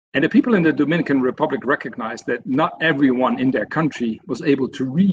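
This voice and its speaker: Speaking at a fairly quick pace, the man has a fairly high pitch. His pitch varies in an ordinary way. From Netherlands. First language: Dutch. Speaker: senior software consultant. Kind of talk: webinar presentation. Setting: online webinar. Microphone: video call.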